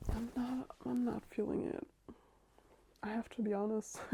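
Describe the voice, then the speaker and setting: With a non-native accent, a woman speaks at a fairly slow pace in a dark, mellow tone. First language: not English. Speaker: book vlogger. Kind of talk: casual vlog. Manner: casual, filler-heavy.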